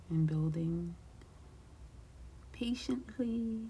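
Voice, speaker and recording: Whispering and soft-spoken, the speaker keeps a calm tone at a very slow pace. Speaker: craft YouTuber. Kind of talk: tutorial. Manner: whispering softly; calm, slow.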